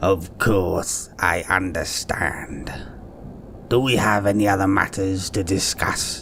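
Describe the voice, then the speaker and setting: A man's put-on character voice, fairly low in pitch and fairly slow, over clear background noise. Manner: condescending.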